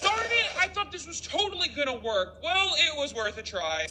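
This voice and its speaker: Through clear background noise comes a put-on character voice at an extremely high pitch, moving at a moderate pace. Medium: machinima. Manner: earnest, folksy.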